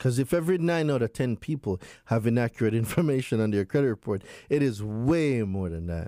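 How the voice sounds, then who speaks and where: In a dry, close sound with no echo and a very clean recording over a silent background, a man speaks at a very fast pace with a medium pitch, lively intonation and a dark, mellow tone. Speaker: consumer law expert. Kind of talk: interview explaining consumer law. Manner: animated.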